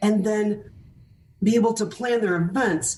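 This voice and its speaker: A woman's lively intonation with vocal fry at a moderate pace. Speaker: fundraising auctioneer and keynote speaker. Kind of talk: interview answer.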